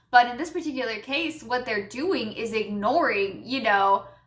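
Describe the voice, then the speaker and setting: Animated and bright with a sharp edge, a woman speaks at a fairly slow pace. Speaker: YouTube commentator. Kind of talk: rant.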